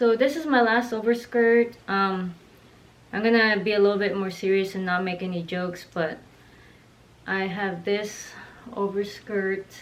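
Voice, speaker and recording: A woman at medium pitch, fairly slow with long, frequent pauses, fairly even intonation, and audible room echo. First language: not English. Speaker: fashion vlogger. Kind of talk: wardrobe tour video. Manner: casual, hesitant with fillers.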